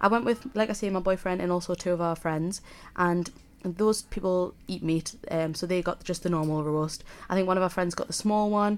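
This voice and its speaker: A woman's medium-pitched voice keeps fairly even intonation and a moderate pace. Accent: Geordie. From northern England, South Shields (Tyneside). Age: 20s. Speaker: student radio podcast host. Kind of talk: casual solo podcast talk. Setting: student radio studio.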